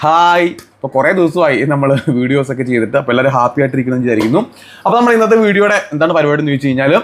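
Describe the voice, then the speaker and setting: Fairly high in pitch, a man speaks with lively intonation in an ordinary speaking voice. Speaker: vlogger. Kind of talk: casual vlog chat.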